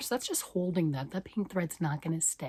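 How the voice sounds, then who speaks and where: A woman's somewhat breathy, medium-pitched voice at a fairly quick pace. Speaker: knitting vlogger. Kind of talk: casual talk to camera.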